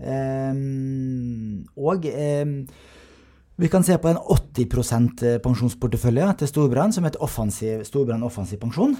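At a very slow pace, a man speaks at a medium pitch with ordinary pitch variation and a dark, mellow tone, in a very clean recording with a silent background. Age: 40s. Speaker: savings economist, podcast host. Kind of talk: casual interview about finance.

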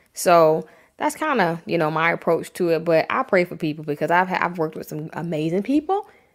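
In a very clean recording with a silent background, a woman speaks with an unremarkable speaking voice. Her pitch is fairly low, her intonation lively, and her pace fairly quick. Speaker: design agency founder. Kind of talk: casual interview.

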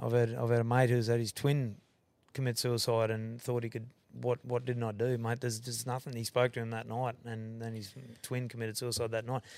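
Speaking in a strong Australian accent, a man keeps a medium pitch and a flat, monotone intonation. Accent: broad Australian. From Queensland, Australia. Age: 40s. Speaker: rodeo owner and concreter. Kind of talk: casual chat.

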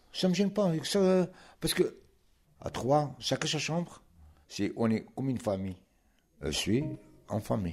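In a very clean recording with a silent background, a man with a fairly high pitch talks at a moderate pace, with very wide pitch swings and long, frequent pauses. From Morocco. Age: 70s. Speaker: retired immigrant worker. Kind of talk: interview.

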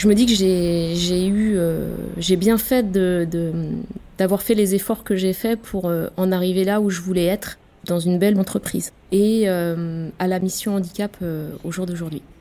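This woman talks at a fairly slow pace and a medium pitch. Her intonation stays fairly even against noticeable background noise. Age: 40s. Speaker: diversity officer. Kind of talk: testimony. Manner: halting.

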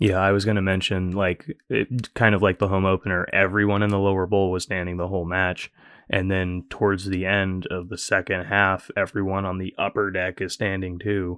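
Moderate pace from a man with a very deep, low pitch and monotone, flat intonation. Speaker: podcast producer. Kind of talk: casual chat. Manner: jokey.

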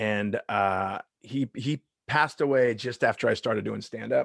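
In a dry, close sound with no echo, a man speaks with a Southern California accent. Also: quiet background. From US West Coast, Long Beach, California. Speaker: stand-up comedian. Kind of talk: casual chat.

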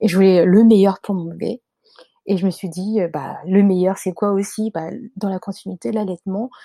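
At a moderate pace, a woman speaks in a medium pitch with a dark, mellow tone and fairly even intonation, the sound dry and close with no echo. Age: 30s. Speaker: life coach and mother. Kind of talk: testimony.

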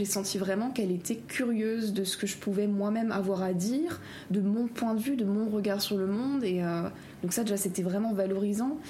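A woman speaks at a medium pitch and a moderate pace, with ordinary pitch variation and very even loudness. Noticeable background noise and audible room echo come through. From Alsace-Lorraine, France. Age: young. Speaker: law and history student. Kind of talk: interview.

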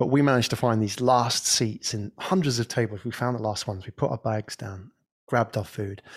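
On a very clean recording with a silent background and a dry, close sound without echo, a man speaks at a moderate pace in a somewhat breathy, medium-pitched voice with ordinary pitch variation. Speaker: podcast agency owner. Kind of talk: casual chat.

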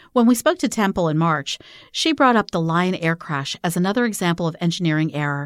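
A woman's fairly low, unremarkable speaking voice at a fairly quick pace, with lively intonation, on a very clean recording over a silent background. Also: dry, close sound with no echo. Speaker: podcast host and startup founder. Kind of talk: scripted narration.

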